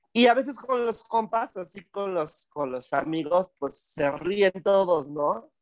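A man's high voice at a very slow pace, with very wide pitch swings, hardly any pauses, and a dry, close sound with no echo. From Tlaxcala, Mexico. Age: 30s. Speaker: cabaret and theatre performer. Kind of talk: casual comedic interview. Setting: cabaret venue.

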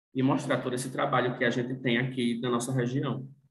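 Audible room echo surrounds a man speaking at a fairly quick pace and a medium pitch. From Rio Grande do Norte, Brazil (Northeast). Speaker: journalist and fashion content creator. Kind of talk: casual chat.

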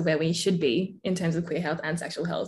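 A woman with an Australian accent speaks at a medium pitch, her voice somewhat breathy and her intonation fairly even. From Australia, Melbourne. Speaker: podcast host. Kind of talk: interview.

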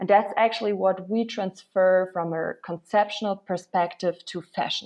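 A woman talks in a German accent with a dark, mellow tone. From Germany, Berlin. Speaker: startup founder. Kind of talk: interview.

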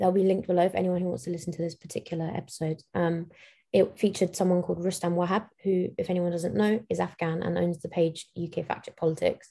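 Very fast and somewhat breathy, a woman speaks at a fairly low pitch in a flat, monotone way. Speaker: podcast co-host. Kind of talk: casual chat.

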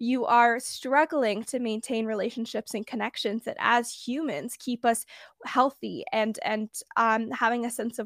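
A woman with an American accent and a normal speaking voice, fairly high in pitch, at a moderate pace with ordinary pitch variation, in a very clean recording with a silent background and a dry, close sound with no echo. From US West Coast, Bay Area. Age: under 20, just graduated high school. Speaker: podcast host sharing mental health story. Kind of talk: interview, personal testimony.

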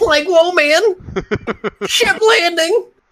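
In a put-on character voice with an extremely high pitch, the speaker sounds playful. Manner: playful, goofy.

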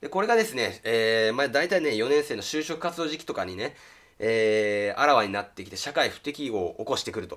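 On a very clean recording with a silent background, a man of medium pitch talks at a fairly quick pace. His intonation is lively and his loudness swings a lot. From rural Japan. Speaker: YouTuber. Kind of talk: casual monologue. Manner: hesitant with fillers.

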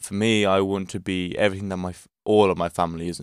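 In a very clean recording with a silent background and a dry, close sound with no echo, a man with a very deep, low pitch speaks at a fairly quick pace. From Portugal. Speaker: podcast host. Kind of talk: solo motivational monologue. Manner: animated.

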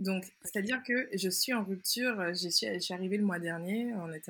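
With a plain, everyday voice, a woman talks at a moderate pace. Her pitch is medium, with ordinary variation. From Martinique. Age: 20s. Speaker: anthropologist and patient expert. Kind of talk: interview testimony.

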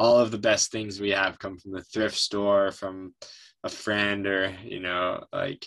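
A man's very deep, low voice at a fairly slow pace with fairly even intonation. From upstate New York. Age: 30s. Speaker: environmental nonprofit director. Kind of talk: interview.

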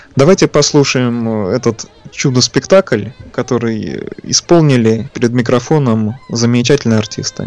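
A man speaks at a fairly slow pace and medium pitch with ordinary pitch variation, the sound dry and close with no echo and music in the background. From Leningrad / Saint Petersburg, Russia. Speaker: record collector and engineer. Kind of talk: guest talking about records on a radio show. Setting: radio broadcast, remote from studio.

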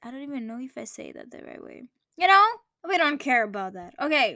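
Using a raised, projected voice, a woman speaks at a high pitch in a bright, sharp tone with lively intonation. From Greece. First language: Greek. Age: 20s. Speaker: podcaster. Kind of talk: casual monologue. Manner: halting.

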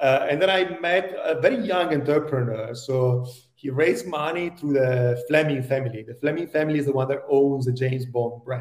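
Speaking at a moderate pace with hardly any pauses, a man with an Italian accent uses a fairly high pitch and ordinary pitch variation. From Italy. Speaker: tech executive. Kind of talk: interview.

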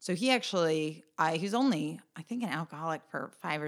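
This woman has a very deep, low pitch and an American accent, speaking at a moderate pace with lively intonation. The recording is very clean, with a silent background. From US Midwest, rural central Michigan. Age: 30s. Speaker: community organization founder. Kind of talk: interview.

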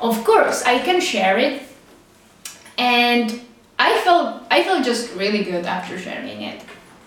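Amid audible room echo and noticeable background noise, a woman with a Czech accent and high pitch talks at a fairly slow pace, with very wide pitch swings and long, frequent pauses. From Czech Republic. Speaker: podcast host. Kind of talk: casual monologue.

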